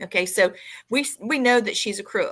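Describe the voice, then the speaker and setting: A woman with a Southern US accent and a bright, sharp tone speaks at a fairly slow pace on a very clean recording with a silent background. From US South. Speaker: podcast host. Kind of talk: casual chat.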